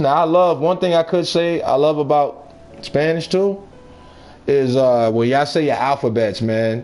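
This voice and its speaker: Noticeable background noise sits behind the voice. A man with an American accent speaks at a fairly high pitch with ordinary pitch variation. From New York. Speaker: video game live streamer. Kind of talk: casual chat with live stream viewers while gaming.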